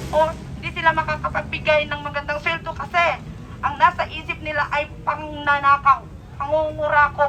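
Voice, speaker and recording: A woman's raised, projected voice, high-pitched and monotone with flat intonation, at a moderate pace over noticeable background noise. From Philippines. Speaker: overseas Filipino worker, protester. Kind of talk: protest speech. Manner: impassioned.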